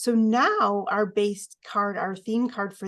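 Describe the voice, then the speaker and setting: A woman speaks in a medium pitch with fairly even intonation. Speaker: oracle card reader, co-host. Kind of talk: tarot-style card reading, casual spiritual talk. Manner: fast.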